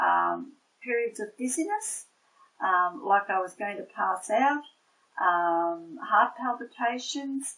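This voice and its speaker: Speaking with an Australian accent, a woman talks at a very slow pace. Her fairly high voice moves in very wide pitch swings. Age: 60s. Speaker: nurse and patient. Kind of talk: testimony. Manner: halting, many fillers.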